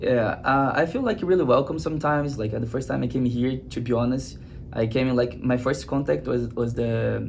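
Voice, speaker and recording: Audible room echo surrounds a man with a Brazilian Portuguese accent who talks at a fairly quick pace, his medium pitch showing ordinary variation. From Brazil, Rio de Janeiro. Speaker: student athlete. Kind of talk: interview. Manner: halting, many fillers.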